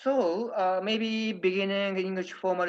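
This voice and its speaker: A man speaks at a moderate pace, the background quiet. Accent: Japanese. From Japan, Nagoya. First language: Japanese. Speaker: diplomat. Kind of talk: presentation talk. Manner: halting, many fillers.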